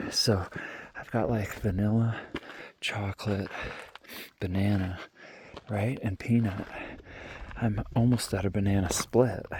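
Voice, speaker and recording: A man's fairly low-pitched, somewhat breathy voice with a dark, mellow tone and relaxed tone, fairly even intonation, a fairly slow pace and long, frequent pauses. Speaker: hiker vlogger. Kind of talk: casual vlog narration while hiking. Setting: outdoors on a mountain trail at night. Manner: relaxed, hesitant with fillers; soft-spoken, quiet near campers.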